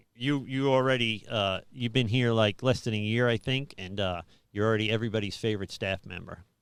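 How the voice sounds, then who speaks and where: A man's fairly quick speech in an American accent, medium pitch, fairly even intonation. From New York City (Staten Island). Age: 50s. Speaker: pastor. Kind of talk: casual chat. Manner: halting.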